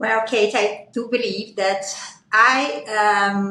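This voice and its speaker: A woman with a Portuguese accent and a fairly high voice speaks amid audible room echo. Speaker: aesthetic physician. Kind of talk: panel discussion.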